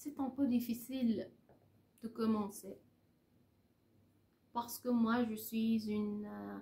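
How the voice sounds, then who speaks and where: In a Persian accent, a woman speaks at a very slow pace, her fairly high voice somewhat breathy and monotone, with flat intonation. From Iran. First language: Persian (speaking French). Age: 30s. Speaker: French teacher. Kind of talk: casual vlog in learner French. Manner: halting, many hesitations.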